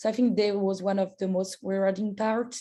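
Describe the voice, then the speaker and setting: With a dark, mellow tone, a woman speaks at medium pitch and a moderate pace, somewhat breathy and with fairly even intonation. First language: not English. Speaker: undergraduate scholar. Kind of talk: info session Q&A. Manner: halting.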